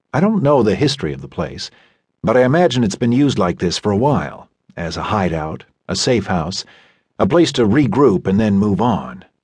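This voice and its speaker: Using vocal fry, a man talks at a moderate pace and fairly low pitch, his pitch swinging very widely. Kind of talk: audiobook narration, first-person novel reading. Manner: measured, brooding, literary, reflective.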